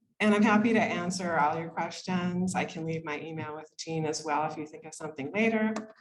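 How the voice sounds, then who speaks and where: Audible room echo surrounds a woman speaking at a moderate pace in a very deep, low voice. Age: 50s. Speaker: occupational therapist. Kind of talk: lecture. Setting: room with live audience, microphone.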